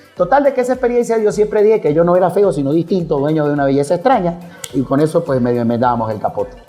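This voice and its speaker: Music plays behind a man talking at a very fast pace. His high voice makes very wide pitch swings. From Venezuela, Mérida. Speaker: radio announcer. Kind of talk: interview answer. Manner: spontaneous, humorous.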